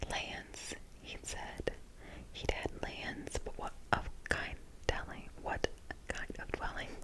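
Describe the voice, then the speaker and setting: A whispering woman at a very slow pace, with long, frequent pauses, big swings in loudness and noticeable background noise. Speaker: ASMR creator. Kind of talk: ASMR book reading. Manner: soft, slow, whispered.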